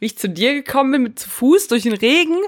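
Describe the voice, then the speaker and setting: A woman's unremarkable speaking voice, fairly quick in pace and lively in intonation. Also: very clean recording, silent background. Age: 30s. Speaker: podcast co-host. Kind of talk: casual chat.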